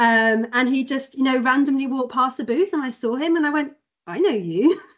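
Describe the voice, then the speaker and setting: A woman's high-pitched voice with a British accent, a fairly quick pace and lively intonation. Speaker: company employee. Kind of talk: casual chat.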